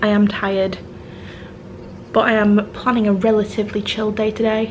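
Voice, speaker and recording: With a British accent, a woman speaks at a fairly high pitch in a monotone, flat way. Background noise is noticeable. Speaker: travel vlogger. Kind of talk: casual vlog talk. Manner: hesitant, many ums.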